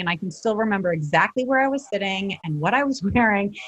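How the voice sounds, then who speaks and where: This woman talks at a fairly quick pace in a medium pitch. Her voice is somewhat breathy. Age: 40s. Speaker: life and relationship coach. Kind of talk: interview. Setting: podcast recording.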